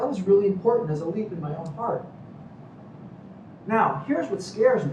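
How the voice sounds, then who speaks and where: Lively intonation at a moderate pace comes through audible room echo and noticeable background noise. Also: man. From Cuba, raised in Miami. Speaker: medical professor. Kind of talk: lecture. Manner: animated.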